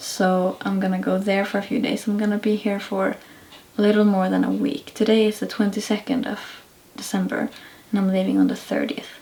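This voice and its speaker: A woman speaks quietly at a medium pitch. Her intonation is fairly even. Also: fairly quick pace. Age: 20s. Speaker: vlogger. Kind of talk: vlog talking to camera. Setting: indoors at night at family house. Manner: quiet, hushed.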